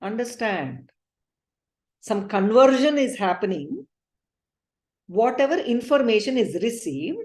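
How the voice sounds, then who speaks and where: Her fairly high voice swings very widely in pitch and shows vocal fry as this woman speaks at a fairly slow pace with long, frequent pauses. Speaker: spiritual teacher. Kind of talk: lecture.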